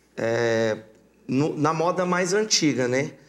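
A man talks with lively intonation at a fairly high pitch. He has an ordinary speaking voice. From Mato Grosso, Brazil (born in Paraná). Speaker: sertanejo singer. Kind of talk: casual interview.

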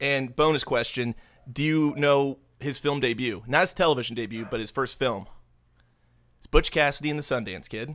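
An unremarkable speaking voice at a moderate pace, with ordinary pitch variation and big swings in loudness. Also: man, medium pitch for a man. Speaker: podcast host. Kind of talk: casual banter podcast chat. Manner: jokey, irreverent.

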